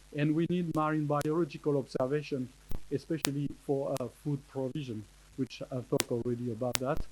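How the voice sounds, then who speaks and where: Quick-paced and fairly high in pitch, a man speaks with a French accent and fairly even intonation. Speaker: marine scientist speaker. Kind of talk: conference talk. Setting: conference with audience. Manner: halting, many hesitations.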